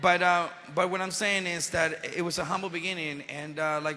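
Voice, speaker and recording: A man speaks with a Spanish accent. His tone is bright and sharp. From Venezuela. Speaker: actor and motivational speaker. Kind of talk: motivational speech to youth audience. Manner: animated.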